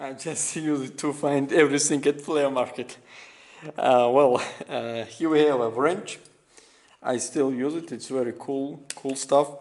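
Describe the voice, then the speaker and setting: Speaking at a fairly slow pace, a man with a non-native accent uses a fairly high pitch. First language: not English. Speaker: restoration YouTuber. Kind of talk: show-and-tell video walkthrough. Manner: halting, many fillers.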